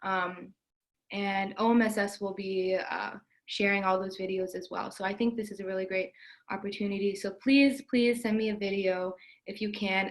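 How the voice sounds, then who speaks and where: On a very clean recording with a silent background, a woman speaks at a medium pitch in a monotone, flat intonation. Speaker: student government member. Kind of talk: meeting announcement. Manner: fast.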